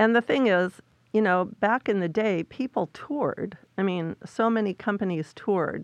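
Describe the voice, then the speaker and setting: A woman with an ordinary speaking voice, medium pitch, ordinary pitch variation, very even loudness and a moderate pace, in a dry, close sound with no echo over a quiet background. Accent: American. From San Francisco Bay Area, US. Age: 60s. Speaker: ballet director and choreographer. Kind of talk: interview. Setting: studio.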